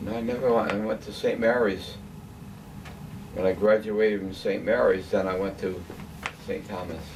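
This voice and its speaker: There is audible room echo and noticeable background noise as a man with an American accent talks at a moderate pace. His fairly low pitch carries fairly even intonation, broken by long, frequent pauses. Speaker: elderly father telling his life story. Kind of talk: family interview, life reminiscence.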